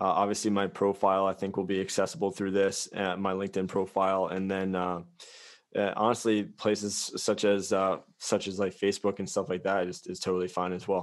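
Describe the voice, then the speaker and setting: In a quiet background, a man talks at a fairly quick pace. His pitch is fairly low. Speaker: company founder. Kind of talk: interview. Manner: animated; halting, many false starts.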